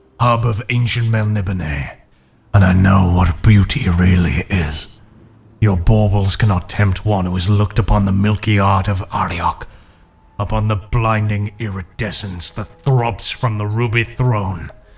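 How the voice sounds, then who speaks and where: Moderate pacing from a man at a fairly low pitch, with ordinary pitch variation. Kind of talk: fantasy audiobook narration. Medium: read story.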